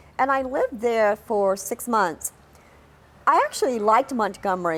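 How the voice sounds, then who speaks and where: In an American accent, a woman speaks at a fairly high pitch with lively intonation. The recording is very clean, with a silent background. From New York City. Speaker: documentary narrator telling own life story. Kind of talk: personal life-story narration.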